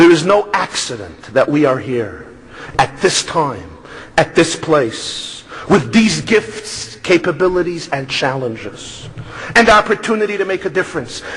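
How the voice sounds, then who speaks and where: A man with a New York accent speaks at a fairly slow pace in a high pitch with very wide pitch swings. There is noticeable background noise. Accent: New York Brooklyn. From US Northeast, Brooklyn New York. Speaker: rabbi and speaker. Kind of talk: speech.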